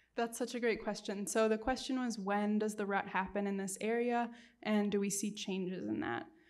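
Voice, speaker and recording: A woman with an American accent talks at a moderate pace and medium pitch. Her intonation is fairly even, and room echo is audible. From United States. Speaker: wildlife researcher. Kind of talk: public lecture Q&A. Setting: lecture room with audience and Zoom.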